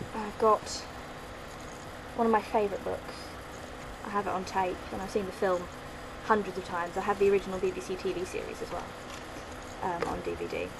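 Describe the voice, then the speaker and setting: Talking at a fairly quick pace, a woman leaves long, frequent pauses. Room echo is audible, and background noise is noticeable. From London, England. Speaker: vlogger. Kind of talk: casual vlog, accent challenge.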